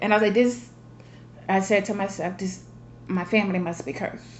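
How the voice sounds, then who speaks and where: A woman's fairly even intonation with audible room echo. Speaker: vlogger. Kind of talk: casual monologue to family.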